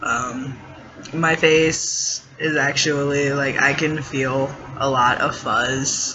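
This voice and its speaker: With audible room echo and noticeable background noise, a man speaks very slowly at a fairly high pitch in a monotone, flat intonation. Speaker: vlogger. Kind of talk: personal vlog. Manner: hesitant, many fillers.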